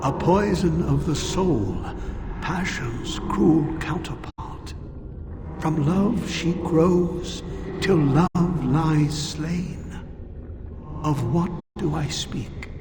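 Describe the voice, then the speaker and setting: A man's put-on character voice, fairly high and very slow, with a clear echo and clear background noise. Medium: machinima. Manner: grave, formal.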